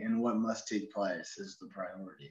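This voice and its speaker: A man talks at a moderate pace with an American accent. The background is quiet, though audible room echo is present. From Oregon, US (Ashland); Oregon. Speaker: novelist. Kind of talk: interview. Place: home room. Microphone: video call.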